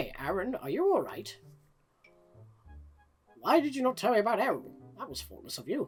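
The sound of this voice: Using a put-on character voice, a man talks at a fairly quick clip in an extremely high pitch, with long, frequent pauses and faint music playing behind him.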